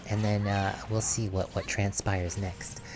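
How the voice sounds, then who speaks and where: Music is playing behind the voice. A man talks at a fairly slow pace. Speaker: game streamer. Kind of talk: live stream commentary. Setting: live stream. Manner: halting with fillers.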